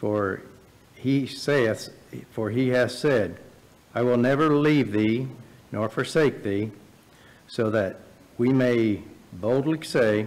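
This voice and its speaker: A man speaks at a very slow pace with ordinary pitch variation. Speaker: scripture reader. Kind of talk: reading aloud. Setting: church. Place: church.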